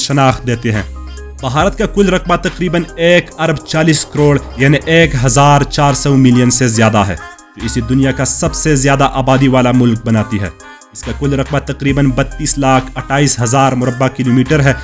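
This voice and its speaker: Music sounds behind the speaker. Pitch variation in the voice is ordinary. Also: man. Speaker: documentary voice-over narrator. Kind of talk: travel documentary narration.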